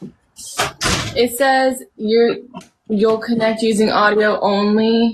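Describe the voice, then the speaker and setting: A woman's fairly high, monotone voice, flat in intonation, very slow in pace and very even in loudness. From US South, North Carolina (Charlotte). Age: 20s. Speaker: singer-songwriter. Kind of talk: casual interview. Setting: video call live stream from home.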